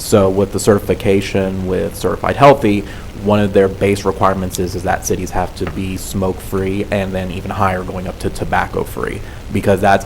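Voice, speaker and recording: A soft-spoken man talks at a fairly quick pace with a very deep, low pitch. The audio has audible room echo and noticeable background noise. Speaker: public health program worker presenting to council. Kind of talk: presentation and Q&A at council meeting. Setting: city council meeting.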